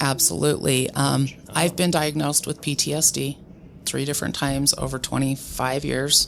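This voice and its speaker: A woman talks while noticeable background noise carries on underneath. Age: middle-aged. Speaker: medical cannabis patient. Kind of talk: interview. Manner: loud; energetic.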